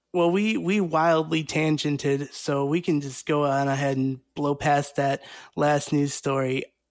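In a normal speaking voice, a man speaks at a fairly slow pace with fairly high pitch and fairly even intonation on a very clean recording with a silent background. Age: 30s. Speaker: podcast host. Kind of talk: casual chat.

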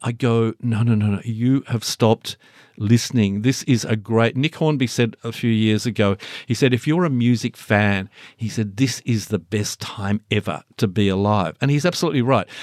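Speaking at a moderate pace and medium pitch, a man talks in an Australian accent with ordinary pitch variation. The recording is very clean with a silent background, and the sound is dry and close with no echo. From Launceston, Tasmania. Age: 60s. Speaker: music journalist and author. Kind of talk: interview about his book.

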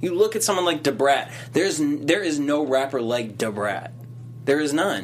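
Speaking at a moderate pace, a man has an American accent. His tone is animated and his intonation lively. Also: fairly high pitch for a man. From Boston. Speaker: late night talk show host. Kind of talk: casual chat. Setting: studio.

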